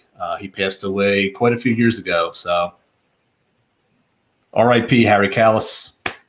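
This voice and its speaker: Speaking at a moderate pace with a Philadelphia accent, a man keeps his intonation fairly even and takes long, frequent pauses. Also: fairly low pitch for a man. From Philadelphia, US. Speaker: watch YouTuber. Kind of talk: casual chat.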